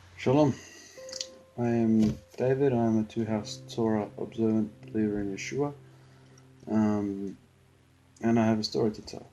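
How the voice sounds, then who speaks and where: A man's fairly low voice with long, frequent pauses, music playing in the background. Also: ordinary pitch variation, moderate pace. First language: Spanish. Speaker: believer giving personal testimony. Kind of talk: testimony. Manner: halting, many fillers.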